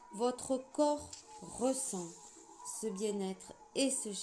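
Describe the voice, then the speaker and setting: A woman at a very slow pace with lively intonation, music in the background. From southwest France. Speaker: spiritual channeler. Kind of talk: channeled spiritual message reading.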